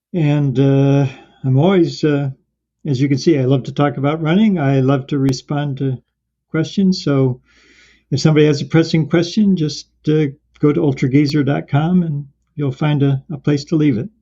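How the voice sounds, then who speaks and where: A moderate pace marks this voice. Its intonation stays fairly even, and it sounds somewhat breathy. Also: man, fairly high pitch for a man. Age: 70s. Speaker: marathon runner. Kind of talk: interview.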